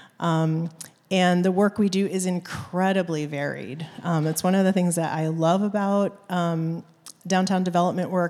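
A woman's dark, mellow tone at a fairly slow pace. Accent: American. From Maine, US. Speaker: downtown nonprofit executive director. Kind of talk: onstage interview. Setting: church stage with audience.

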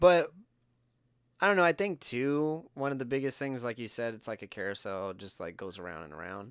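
A man's medium-pitched voice at a fairly quick pace, with very wide pitch swings and big swings in loudness. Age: 30s. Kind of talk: casual chat. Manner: casual, joking.

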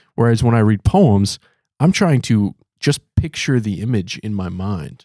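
A man with an American accent speaks at a fairly low pitch in a dark, mellow tone with ordinary pitch variation. The sound is dry and close with no echo, in a very clean recording with a silent background. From US Midwest, near Milwaukee. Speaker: podcast host. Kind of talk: casual discussion. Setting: studio.

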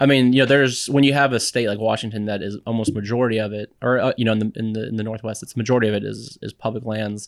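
This man speaks very fast with an American accent and fairly even intonation. The recording is very clean, with a silent background. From Texas, San Antonio. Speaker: parks foundation engagement manager. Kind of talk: interview. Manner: halting.

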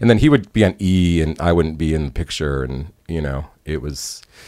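With an American accent, a man speaks at a moderate pace. His pitch is very deep and low. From Chicago area, US. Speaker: concert photographer and former musician. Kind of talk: casual interview storytelling.

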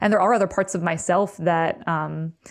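A woman with an American accent and vocal fry speaks at a moderate pace and a fairly low pitch, with ordinary pitch variation against a quiet background. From US Northeast, Berkshires, Western Massachusetts. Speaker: musician. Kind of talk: interview.

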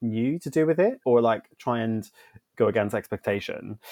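In a dry, close recording with no echo, a man speaks at a medium pitch with ordinary pitch variation in a normal speaking voice. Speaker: church music director; podcast host.

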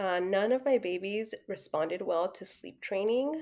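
A woman speaks at a fairly slow pace in a fairly high pitch. It is an ordinary speaking voice. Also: very clean recording, silent background. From Mexican-American, US. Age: 30s. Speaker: social worker, mother. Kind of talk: casual interview. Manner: frequent laughter and fillers.

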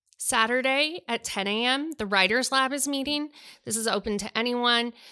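In a very clean recording with a silent background, a woman speaks loudly at a high pitch and a moderate pace with ordinary pitch variation. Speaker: podcast host and bookstore co-owner. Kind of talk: casual chat about books.

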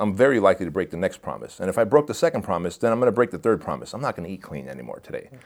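The recording is very clean, its background silent. A man's voice swings very widely in pitch and carries vocal fry. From Armenia, raised in the US from age six. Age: 40s. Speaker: entrepreneur and fitness coach. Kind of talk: podcast interview. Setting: studio.

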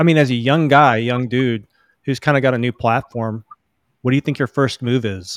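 On a very clean recording with a silent background and a dry, close sound with no echo, a man of medium pitch uses an unremarkable speaking voice with fairly even intonation. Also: fairly quick pace. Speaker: podcast co-host.

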